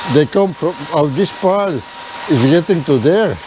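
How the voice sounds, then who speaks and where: A man's intonation is lively, with noticeable background noise behind him. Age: 60s. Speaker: farmer. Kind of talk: casual vlog narration.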